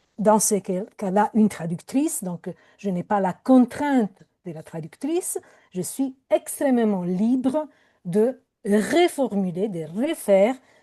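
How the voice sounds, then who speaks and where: A woman's fairly high voice with a dark, mellow tone, lively intonation and a very slow pace, in a dry, close sound with no echo. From Italy. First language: Italian (speaking French). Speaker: poet and professor. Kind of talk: panel discussion. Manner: hesitant, many fillers.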